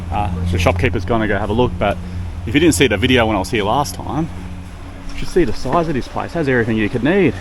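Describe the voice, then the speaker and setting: With music in the background, someone speaks at a very fast pace in an Australian accent with lively intonation. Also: man, fairly low pitch for a man. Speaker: expat dad vlogger. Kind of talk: casual vlog talk to camera.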